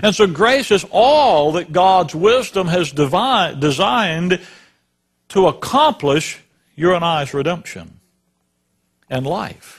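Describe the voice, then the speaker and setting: Speaking at a very slow pace with long, frequent pauses, a man uses a high pitch and lively intonation. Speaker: preacher. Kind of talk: sermon.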